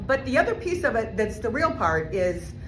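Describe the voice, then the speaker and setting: A fairly high-pitched woman at a fairly quick pace, with noticeable background noise and audible room echo. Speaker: motivational speaker. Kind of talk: keynote speech. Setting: stage with audience. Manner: fast; animated.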